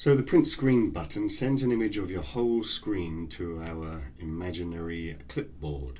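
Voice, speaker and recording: With hardly any pauses, a man speaks at a fairly slow pace in a somewhat breathy, very deep, low voice whose pitch swings very widely, amid audible room echo. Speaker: tutorial narrator. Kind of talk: screen-recorded software tutorial.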